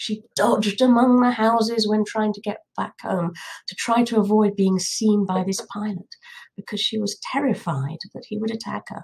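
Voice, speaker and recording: A woman speaks at a moderate pace with a fairly high pitch. Her voice is somewhat breathy, and her intonation is fairly even. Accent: southern English. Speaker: political commentator. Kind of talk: monologue.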